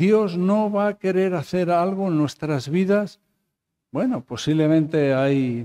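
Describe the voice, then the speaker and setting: Dark, mellow male voice over a quiet background. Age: 50s. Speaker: pastor. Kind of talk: Bible study teaching. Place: church. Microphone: podium.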